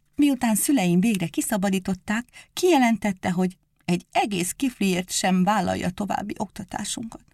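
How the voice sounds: A natural reading voice is heard. Nothing more is marked.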